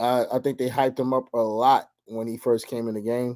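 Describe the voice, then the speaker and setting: A man speaks in a dark, mellow tone. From Brooklyn, New York. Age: middle-aged. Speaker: podcast co-host. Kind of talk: casual chat.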